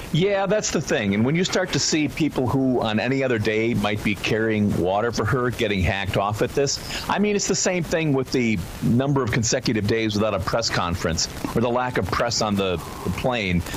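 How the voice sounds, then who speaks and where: Over noticeable background noise, a man at medium pitch talks at a fairly quick pace with hardly any pauses, lively intonation and very even loudness. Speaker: radio show guest, political commentator. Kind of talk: radio interview answer on politics.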